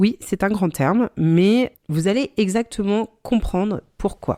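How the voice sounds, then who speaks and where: A woman's voice sits at a medium pitch with a dark, mellow tone. Her pitch swings very widely. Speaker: podcast host. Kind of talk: solo podcast talk. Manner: conversational with many filler sounds.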